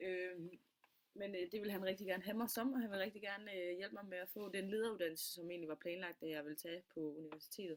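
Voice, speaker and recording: Talking at a very fast pace, a woman with a medium pitch shows ordinary pitch variation. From Denmark, Funen (Middelfart). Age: 20s. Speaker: student. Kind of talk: self-presentation. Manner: halting, many fillers.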